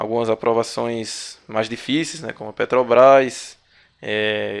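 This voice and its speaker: A man talks at a fairly slow pace. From Brazil, Paraíba (Northeast). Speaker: exam-prep instructor. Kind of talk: online video lecture. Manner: filler-heavy, hesitant.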